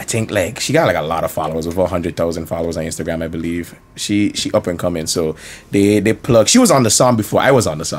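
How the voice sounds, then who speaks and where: Very fast speech comes from a man with a St Martin accent. His pitch is very deep and low. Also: ordinary pitch variation. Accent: St. Martin Caribbean English. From St. Martin (Caribbean). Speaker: rapper. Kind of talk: casual chat.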